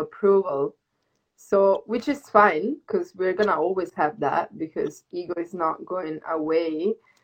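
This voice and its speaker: Using an ordinary speaking voice, a woman talks at a fairly slow pace in a fairly low pitch with ordinary pitch variation. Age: 20s. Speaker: yoga teacher and dancer. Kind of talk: casual chat. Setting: Instagram live video stream.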